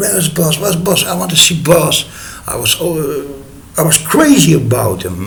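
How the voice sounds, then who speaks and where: Lively intonation from a man with a Dutch accent, amid noticeable background noise and audible room echo. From Netherlands. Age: 40s. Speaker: storyteller. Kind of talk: personal story. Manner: halting, many filler sounds.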